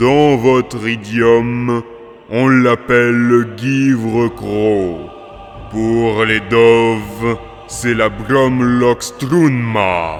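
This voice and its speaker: A man uses a put-on character voice at a medium pitch. He goes at a very slow pace over clear background noise. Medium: fan dub. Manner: measured, scholarly.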